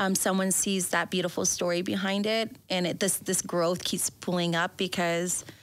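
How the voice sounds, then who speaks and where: In a very clean recording with a silent background, a woman speaks at a moderate pace and medium pitch. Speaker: business owner. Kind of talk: interview. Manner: animated.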